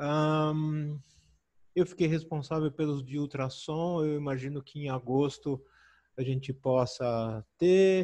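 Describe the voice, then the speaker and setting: Speaking at a very slow pace, a man with a fairly high pitch and a dark, mellow tone keeps a fairly even intonation against a quiet background. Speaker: medical physics expert. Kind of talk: webinar Q&A.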